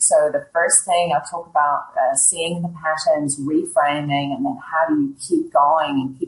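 A woman with a very deep, low pitch speaks fairly slowly in a somewhat breathy voice, with ordinary pitch variation. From Ireland. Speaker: HR executive and author. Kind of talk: interview.

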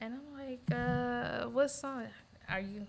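Against noticeable background noise, a woman with an American accent speaks at a fairly high pitch. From US South, Montgomery, Alabama. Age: 40s. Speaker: teacher and gym member. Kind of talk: casual discussion.

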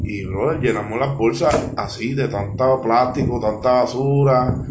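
The speech comes at a very slow pace with ordinary pitch variation, against noticeable background noise and audible room echo. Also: man. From US, Philadelphia. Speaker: charity founder. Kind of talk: casual chat.

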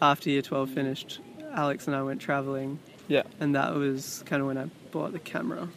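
Speaking in an Australian accent, a man has a fairly high pitch. His pace is moderate. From Sydney, Australia. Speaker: musician and creative. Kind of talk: casual interview chat. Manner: soft-spoken, mumbly.

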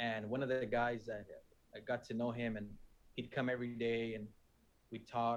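A man with an American accent talks in a medium-pitched voice. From Phoenix, Arizona. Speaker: church planter and technician. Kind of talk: testimony.

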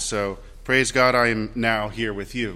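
A man talks with a Midwestern accent. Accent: US Midwest (Ohio). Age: 30s. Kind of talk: Sunday Mass homily, warm personal introduction to new parish. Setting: church during Mass. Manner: conversational and self-deprecating, light laughs at own jokes.

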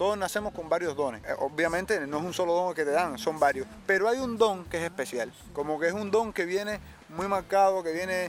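A man speaks at a fairly quick pace. His voice is high-pitched. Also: ordinary pitch variation. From Cuba, Cárdenas. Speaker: singer-songwriter. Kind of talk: interview.

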